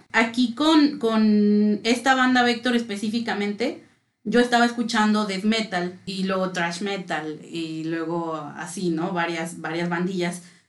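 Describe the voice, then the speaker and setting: A woman talks at a fairly slow pace with hardly any pauses. She has a medium pitch and a normal speaking voice. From Mexico City. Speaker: music fan guest. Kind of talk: casual chat.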